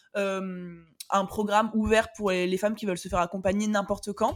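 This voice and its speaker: An energetic woman with fairly high pitch at a fairly quick pace. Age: 20s. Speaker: online business coach. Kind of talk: casual interview.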